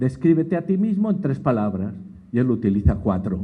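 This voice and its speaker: With audible room echo, a man with a dark, mellow tone and vocal fry swings his pitch very widely at a moderate pace. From Spain. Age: 60s. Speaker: education expert, lecturer. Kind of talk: lecture.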